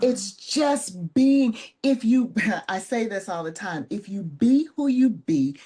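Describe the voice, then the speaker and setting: Against a quiet background, a woman's somewhat breathy voice with a dark, mellow tone moves at a very slow pace through very wide pitch swings. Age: 60s. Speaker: motivational speaker and retreat leader. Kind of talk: interview conversation.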